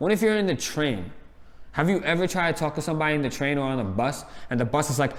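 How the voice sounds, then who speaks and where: The speaker has a New York accent and an animated tone with lively intonation. The pace is very fast, with noticeable background noise. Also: man, fairly high pitch for a man. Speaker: reality TV reviewer. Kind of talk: casual chat. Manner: loud.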